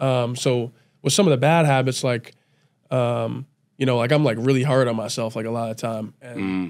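Against a quiet background, the voice moves at a moderate pace with ordinary pitch variation. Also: man. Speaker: college football player; podcast guest. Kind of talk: casual chat. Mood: calm, reflective. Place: studio. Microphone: studio mic.

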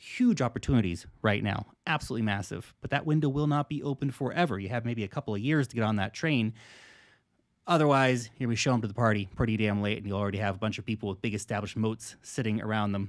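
Very fast speech from a man, with ordinary pitch variation, comes through against a quiet background. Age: 30s. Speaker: crypto investing YouTuber. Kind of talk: direct-to-camera monologue. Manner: animated. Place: home room.

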